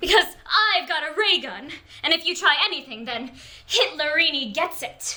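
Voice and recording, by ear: A woman's put-on character voice, high-pitched with a bright, sharp tone, lively intonation and a moderate pace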